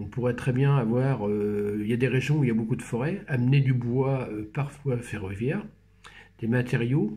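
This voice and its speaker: At a fairly slow pace, a man speaks in a somewhat breathy voice of medium pitch with ordinary pitch variation. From Normandy, France (Brionne). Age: 60s. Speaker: researcher and company manager. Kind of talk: casual conversational interview. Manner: halting, many hesitations.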